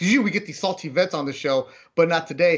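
Over a quiet background, a man talks in a high pitch with ordinary pitch variation. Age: 40s. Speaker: sports podcast host. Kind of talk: casual chat. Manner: fast. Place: home room. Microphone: earbuds.

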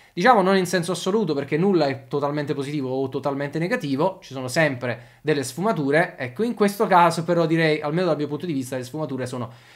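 Speech runs at a very fast pace with ordinary pitch variation. The background is quiet. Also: man. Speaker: football channel host. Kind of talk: commentary. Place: home room.

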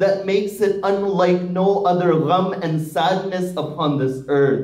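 A high-pitched man speaks with fairly even intonation, and room echo is audible. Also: fairly slow pace. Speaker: religious lecturer. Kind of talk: sermon. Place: hall.

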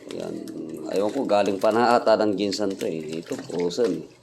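Noticeable background noise beneath a man's moderately paced voice, its pitch variation ordinary. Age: middle-aged. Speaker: vlogger and tricycle driver. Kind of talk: casual vlog monologue. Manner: halting, many fillers.

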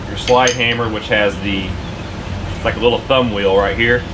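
A man delivers his words fairly quickly while loud noise fills the background. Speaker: garage hobbyist reviewer. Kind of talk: tutorial. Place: garage. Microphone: camera far.

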